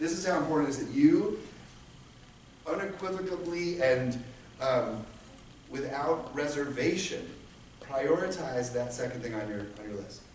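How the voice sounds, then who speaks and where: Delivered at a moderate pace with lively intonation and big swings in loudness, the speech has long, frequent pauses, audible room echo and noticeable background noise. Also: man, fairly high pitch for a man. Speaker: workshop speaker. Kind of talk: interactive workshop. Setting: conference room with audience. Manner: energetic, animated.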